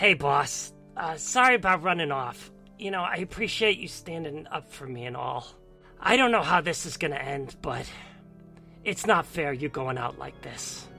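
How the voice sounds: A put-on character voice at a middle pitch moves at a moderate pace. Clear music plays in the background.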